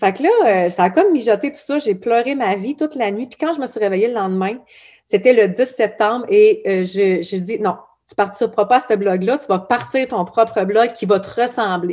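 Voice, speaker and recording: A woman with a dark, mellow tone speaks at a moderate pace in a fairly high pitch. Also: ordinary pitch variation, big swings in loudness. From Quebec, Abitibi. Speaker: blog founder. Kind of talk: podcast interview. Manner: casual, many fillers.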